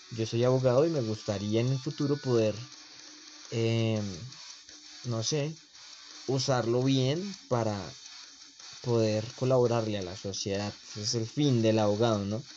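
Against noticeable background noise, a man of medium pitch talks at a fairly slow pace with ordinary pitch variation and long, frequent pauses. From Colombia. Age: 20s. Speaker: podcast host. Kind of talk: casual monologue.

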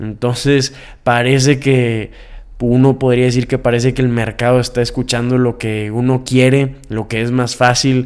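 Flat, monotone intonation from a man at a fairly slow pace. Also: medium pitch for a man. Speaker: podcast host. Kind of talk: news commentary.

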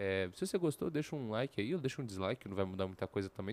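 A man with a fairly low pitch talks at a very fast pace, recorded very cleanly against a silent background, the sound dry and close with no echo. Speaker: youtuber. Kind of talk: casual vlog monologue.

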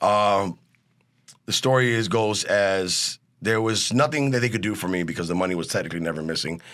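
A man's fairly low voice at a moderate pace, with ordinary pitch variation, in a very clean recording with a silent background. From US Midwest, East Chicago, Indiana. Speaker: actor and chef. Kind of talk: interview.

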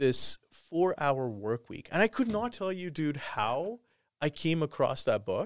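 A man with a Canadian accent speaks at a fairly slow pace and fairly high pitch. The recording is very clean with a silent background, and the sound is dry and close with no echo. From Canada, Calgary. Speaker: electronic music producer. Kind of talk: casual interview.

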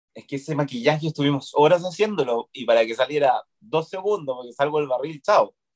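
Recorded with a dry, close sound and no echo, a man with a Chilean accent speaks at a fairly high pitch with ordinary pitch variation. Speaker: actor. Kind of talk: casual interview chat.

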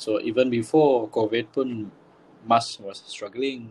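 A man speaks at a very slow pace. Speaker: podcast co-host. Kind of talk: casual chat. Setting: remote call.

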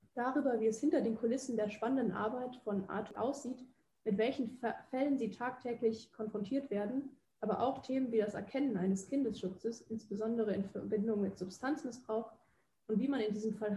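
A woman's fairly high, dark, mellow voice, somewhat breathy and fairly quick, with ordinary pitch variation. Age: 20s. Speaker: psychology student and podcast host. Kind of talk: scripted narration; interview questions.

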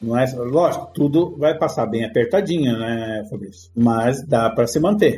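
A dark, mellow, somewhat breathy voice with lively intonation at a fairly slow pace. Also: man. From Brazil. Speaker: front-end developer. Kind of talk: casual interview.

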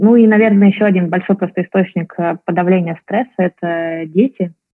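At a moderate pace, a woman with an unremarkable speaking voice speaks at a medium pitch with ordinary pitch variation. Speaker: entrepreneur, startup founder. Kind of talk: interview.

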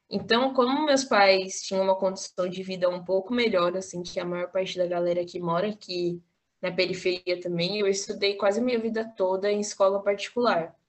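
A woman's normal speaking voice at a medium pitch, moderate pace, fairly even intonation and hardly any pauses. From Brazil, São Paulo (Capão Redondo). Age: 20s. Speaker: university student and activist. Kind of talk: casual interview.

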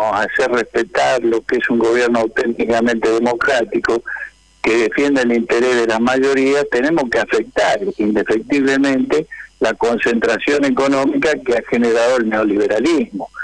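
Over noticeable background noise, a man keeps his loudness very even. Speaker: trade union leader. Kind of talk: radio interview.

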